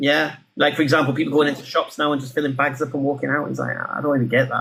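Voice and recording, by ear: A man with a fairly high pitch and a fairly bright tone, with audible room echo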